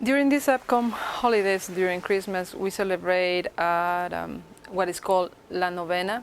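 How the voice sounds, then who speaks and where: A woman with a Spanish accent, at a moderate pace and with ordinary pitch variation. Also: medium pitch for a woman. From Ecuador. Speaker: interviewee on holiday traditions. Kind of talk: interview testimony.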